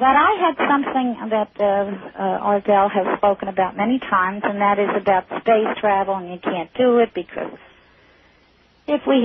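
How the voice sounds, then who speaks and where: A woman talks at a moderate pace and medium pitch with ordinary pitch variation. Background noise is noticeable. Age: 60s. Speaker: caller. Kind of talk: call-in radio conversation. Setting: phone call. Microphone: caller hears feedback on the line.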